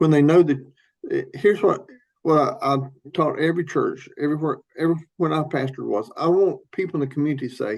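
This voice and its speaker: Talking at a very fast pace, a man with a Southern US accent has a fairly high pitch and ordinary pitch variation. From US South, Tennessee. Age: 60s. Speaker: pastor. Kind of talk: podcast interview.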